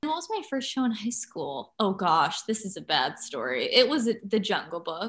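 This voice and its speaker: Hardly pausing, a woman speaks at a moderate pace with vocal fry. Her pitch is fairly high and swings very widely. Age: 30s. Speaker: actor and YouTuber. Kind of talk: casual chat.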